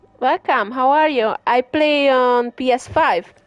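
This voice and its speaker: With a strong Hungarian accent, a woman speaks very slowly in a high pitch with ordinary pitch variation, the sound dry and close with no echo. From Hungary. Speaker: gaming streamer. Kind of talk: live gameplay commentary. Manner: casual, hesitant with fillers.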